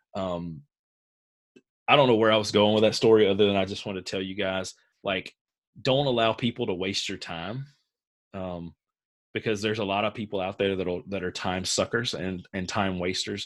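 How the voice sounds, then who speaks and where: Speaking at a moderate pace in a Southern US accent, a man uses a fairly low pitch and fairly even intonation, leaving long, frequent pauses in a very clean recording with a silent background. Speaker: author coach. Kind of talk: live group coaching call.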